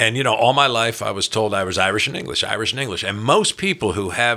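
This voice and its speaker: A man speaks with a bright, sharp tone. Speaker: podcast host. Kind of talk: casual chat. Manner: talkative.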